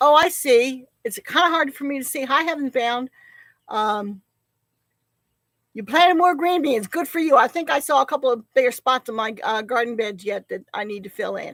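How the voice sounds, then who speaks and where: A woman with a slight New Jersey accent speaks at a moderate pace in a high voice with lively intonation. The recording is very clean, with a silent background, and the sound is dry and close with no echo. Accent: little accent, from New Jersey. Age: 60s. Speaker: homesteader. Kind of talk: live stream chat. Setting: outdoors on porch.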